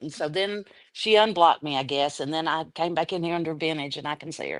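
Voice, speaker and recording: A woman with a very deep, low pitch speaks at a very fast pace with ordinary pitch variation over a quiet background. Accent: Southern US. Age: 60s. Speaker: livestream chat participant. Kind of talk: casual chat.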